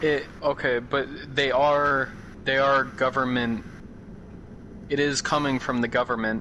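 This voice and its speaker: A man speaks with an American accent. His delivery is fairly slow and monotone, with flat intonation. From Idaho. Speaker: gamer. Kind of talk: heated debate.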